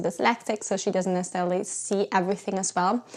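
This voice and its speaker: A woman speaks with a German accent at medium pitch. Her pace is very fast. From Germany. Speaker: writer and YouTuber. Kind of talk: casual vlog talk.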